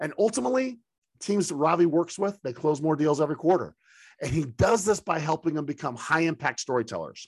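Against a quiet background, a man speaks at a fairly high pitch and a fairly quick pace. His tone is animated and his intonation lively. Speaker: podcast host. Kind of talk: interview.

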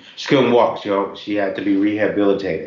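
Noticeable background noise sits behind this recording. A man with an American accent speaks fairly quickly at a fairly low pitch. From Tennessee, Knoxville, with time in Ohio. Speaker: author and caregiver advocate. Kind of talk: interview conversation. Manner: halting, with frequent fillers.

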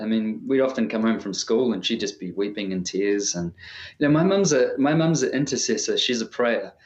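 Here a man of medium pitch speaks at a fairly quick pace. His intonation is lively. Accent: New Zealand. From New Zealand. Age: 30s. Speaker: singer-songwriter. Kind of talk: casual interview chat.

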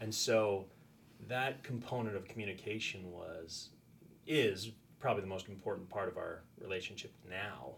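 A man's somewhat breathy voice sits at a fairly low pitch with ordinary pitch variation and a moderate pace, in audible room echo. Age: 40s. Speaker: high school teacher. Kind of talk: casual chat.

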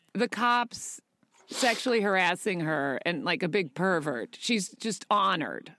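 A woman speaks loudly at a medium pitch with a bright, sharp tone and lively intonation. Her pace is very slow, and the sound is dry and close with no echo. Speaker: actor and podcast co-host. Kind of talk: casual chat.

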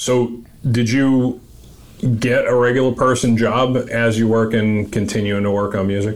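An American accent shapes this man's medium-pitched speech, delivered with flat, monotone intonation. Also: moderate pace. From US Northeast (Massachusetts). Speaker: podcast host and military veteran. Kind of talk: casual interview chat.

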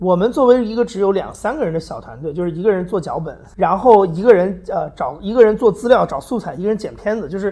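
Talking at a very fast pace with hardly any pauses, a man with a high pitch and a dark, mellow tone uses lively intonation and big swings in loudness. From China. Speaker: podcast producer. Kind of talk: live public talk. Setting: stage with audience.

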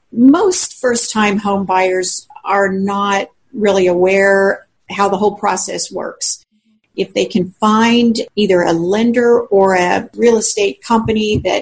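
Speaking at a very slow pace, a woman sounds somewhat breathy, with fairly even intonation. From Colorado. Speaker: realtor. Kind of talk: interview answers.

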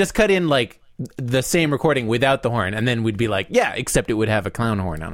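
A natural reading voice carries lively intonation.

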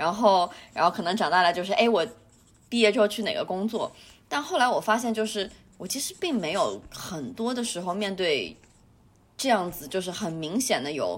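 The speaker has a normal speaking voice with lively intonation. The pace is moderate. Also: woman, medium pitch for a woman. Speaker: podcast co-host. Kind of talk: casual chat.

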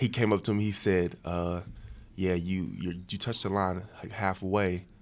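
A man speaks with an American accent at a very deep, low pitch. His intonation stays fairly even at a moderate pace. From West Virginia (Huntington). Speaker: college football player. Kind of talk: casual chat.

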